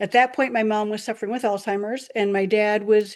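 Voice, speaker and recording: Against a quiet background, a woman with an American accent speaks at a fairly high pitch with ordinary pitch variation in an ordinary speaking voice. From Michigan. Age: 60s. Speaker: network marketing distributor. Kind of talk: presentation. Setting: video call.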